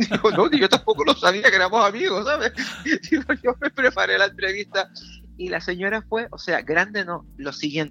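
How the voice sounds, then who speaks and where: A man's raised, projected voice, high in pitch and bright and sharp in tone, with lively intonation at a moderate pace, in a dry, close sound with no echo. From Canary Islands. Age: 50s. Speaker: radio and TV presenter. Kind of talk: interview.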